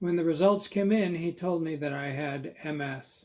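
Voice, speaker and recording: This man has a normal speaking voice, pitched fairly high, with ordinary pitch variation. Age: 60s. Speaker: host, writer with multiple sclerosis. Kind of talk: testimony.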